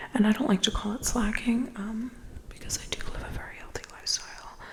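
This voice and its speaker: Over noticeable background noise, a woman whispers at a moderate pace. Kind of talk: ASMR what's in my bag. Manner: whispered, close up.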